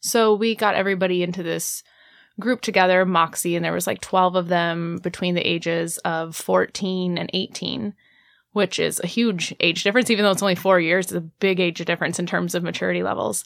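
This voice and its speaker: Recorded very cleanly against a silent background, a woman with a plain, everyday voice talks at a fairly quick pace, fairly low in pitch, her intonation fairly even. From Indiana. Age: 30s. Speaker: sex educator. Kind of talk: radio interview. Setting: radio studio.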